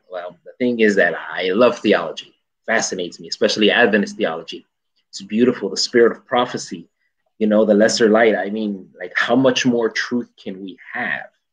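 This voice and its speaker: Loudness swings widely as a man with an American accent speaks at a moderate pace over a quiet background. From Chicago, US. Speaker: English professor; guest. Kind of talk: casual chat. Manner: animated. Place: home room. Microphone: video call.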